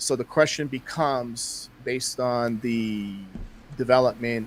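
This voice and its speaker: A man speaks in a plain, everyday voice. His pace is fairly slow. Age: 60s. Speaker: astrologer. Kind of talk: interview conversation.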